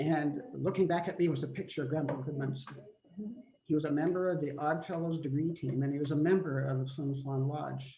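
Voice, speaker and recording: Fairly even intonation and a fairly quick pace mark this speech in a Canadian prairie accent. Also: man, fairly high pitch for a man. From Manitoba, Canada. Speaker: family member. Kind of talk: memorial remarks on a family video call.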